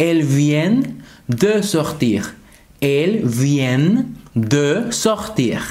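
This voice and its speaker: A man at a very slow pace with very wide pitch swings. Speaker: French teacher. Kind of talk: tutorial. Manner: slow, repeated example sentences. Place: home room.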